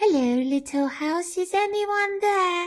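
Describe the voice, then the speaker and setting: An extremely high, squeaky put-on character voice. It moves at a fairly slow pace. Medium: read story. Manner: bright, friendly.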